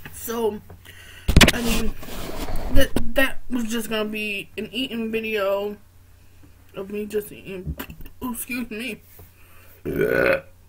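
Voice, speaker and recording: Noticeable background noise sits under a woman speaking at a very slow pace with long, frequent pauses. Her intonation is monotone and flat. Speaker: vlogger. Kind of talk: casual vlog chat. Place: home room. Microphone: webcam.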